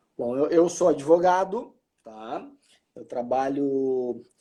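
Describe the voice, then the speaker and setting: A man with a southern Brazilian accent talks in a dark, mellow tone with ordinary pitch variation. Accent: southern Brazilian (gaúcho). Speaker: lawyer and politician. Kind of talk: live video chat interview. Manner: halting, repeats words.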